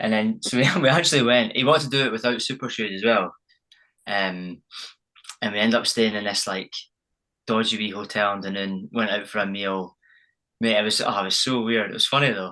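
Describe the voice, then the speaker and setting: In a Scottish accent, a man with a fairly low pitch and a bright, sharp tone talks at a fairly quick pace with ordinary pitch variation and long, frequent pauses against a quiet background. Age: young. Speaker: champion runner. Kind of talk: casual chat.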